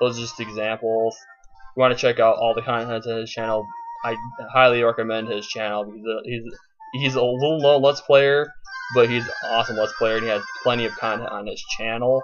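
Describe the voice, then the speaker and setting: Over music in the background, a man talks at a fairly quick pace with monotone, flat intonation. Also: medium pitch for a man, big swings in loudness. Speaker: let's play gamer. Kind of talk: gameplay commentary. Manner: fast, slurring words together; halting, many false starts.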